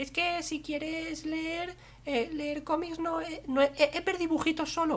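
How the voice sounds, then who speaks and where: A put-on character voice, squeaky and high-pitched, with monotone, flat intonation at a fairly slow pace. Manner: mocking.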